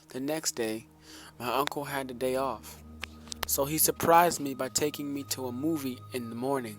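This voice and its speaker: With music in the background, a man talks at a moderate pace in a medium pitch with ordinary pitch variation. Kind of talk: scary story reading.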